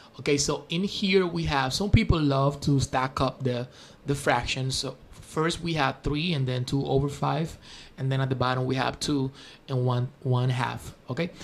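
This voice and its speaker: Somewhat breathy, a man with a Spanish accent speaks at a moderate pace with ordinary pitch variation. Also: medium pitch for a man. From Spanish-speaking country. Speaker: math teacher. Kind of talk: tutorial. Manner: halting, with fillers.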